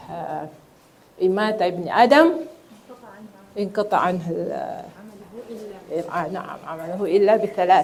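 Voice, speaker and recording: With audible room echo, a woman speaks at medium pitch with lively intonation. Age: 60s. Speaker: teacher. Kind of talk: lecture. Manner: halting.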